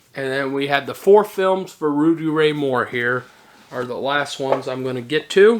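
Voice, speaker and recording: The speech moves at a moderate pace, and noticeable noise can be heard behind it. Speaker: movie collector YouTuber. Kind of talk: casual product haul video.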